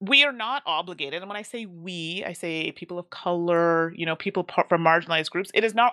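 A woman with a fairly low pitch and a bright, sharp tone speaks at a fairly slow pace with lively intonation. The recording is very clean with a silent background and a dry, close sound with no echo. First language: English (speaking French). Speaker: board game content creator. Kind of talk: casual interview.

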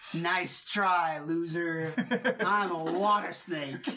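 At a very slow pace and middle pitch, the speaker performs a put-on character voice. Background noise is clearly audible. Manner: disdainful.

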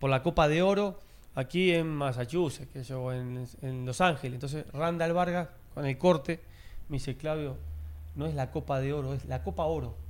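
Here a man talks in an ordinary speaking voice at a fairly high pitch. His pace is moderate, with ordinary pitch variation. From Uruguay. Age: 40s. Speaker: former footballer and sports commentator. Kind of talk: casual interview chat.

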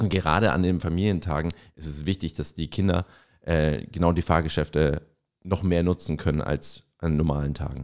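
In a Franconian accent, a man speaks at a moderate pace with very deep, low pitch on a very clean recording with a silent background. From Franconia, Erlangen. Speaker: podcast co-host, marketer. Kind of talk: casual chat.

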